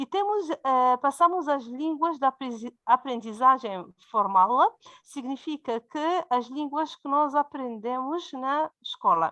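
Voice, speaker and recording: A woman with a Berber accent speaks very slowly in a high, raised, projected voice with lively intonation. The background is quiet and the sound is dry and close with no echo. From Morocco. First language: Berber (speaking Portuguese). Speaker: university lecturer. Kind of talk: conference talk. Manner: halting, many fillers.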